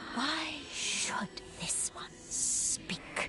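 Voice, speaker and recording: A female-sounding, put-on character voice is whispering. Loud background noise fills the recording. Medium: video game. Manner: halting, speaks of self as this one.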